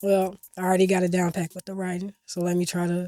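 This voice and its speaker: Very fast and medium in pitch, a woman's voice has a dark, mellow tone, recorded very cleanly with a silent background and a dry, close sound with no echo. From Chicago, east side. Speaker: singer. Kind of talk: interview. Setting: studio.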